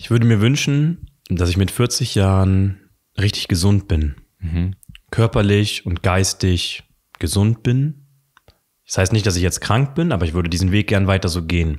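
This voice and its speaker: A man with a fairly low pitch talks at a fairly slow pace with ordinary pitch variation against a quiet background. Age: 20s. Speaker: coach; interview guest. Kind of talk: casual chat. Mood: calm, reflective. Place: home room. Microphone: studio mic.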